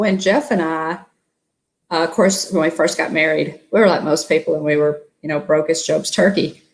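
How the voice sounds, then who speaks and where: Speaking at a moderate pace in an American accent, a woman uses a fairly low pitch with ordinary pitch variation. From US South, Appalachian Tennessee. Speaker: travel vlogger. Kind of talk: casual interview chat.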